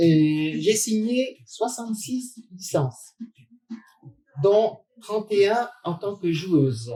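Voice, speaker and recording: A woman's somewhat breathy, dark and mellow voice of medium pitch, with lively intonation, a very slow pace and long, frequent pauses. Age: 70s. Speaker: former basketball player. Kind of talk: interview.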